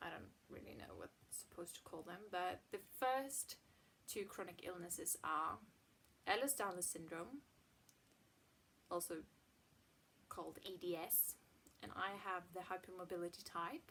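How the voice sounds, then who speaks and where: A moderate pace with long, frequent pauses, ordinary pitch variation, big swings in loudness and a slight Swedish accent. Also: woman, fairly low pitch for a woman. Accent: near-native English, slight Swedish. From Sweden. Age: 20s. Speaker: chronic illness vlogger. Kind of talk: casual vlog monologue.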